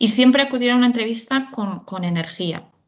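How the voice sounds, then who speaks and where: A woman's voice with ordinary pitch variation. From Galicia, Spain. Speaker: HR recruitment executive. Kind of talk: interview. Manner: halting.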